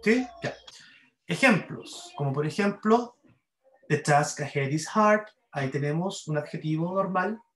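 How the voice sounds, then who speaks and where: In a Chilean accent, a high-pitched man speaks at a very slow pace with lively intonation and long, frequent pauses. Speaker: university English grammar teacher. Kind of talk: lecture.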